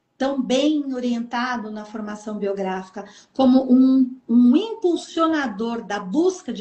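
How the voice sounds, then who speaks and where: Talking at a very slow pace, a woman uses a high pitch with ordinary pitch variation. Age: 60s. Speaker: author. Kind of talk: interview. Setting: live stream.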